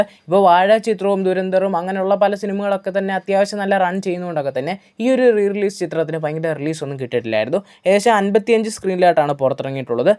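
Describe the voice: Fast speech with a slightly mellow tone and ordinary pitch variation.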